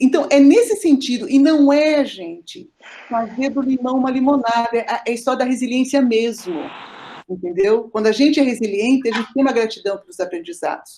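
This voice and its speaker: A woman's high voice with lively intonation at a fairly quick pace. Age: 60s. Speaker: family therapist and lecturer. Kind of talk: online class lecture.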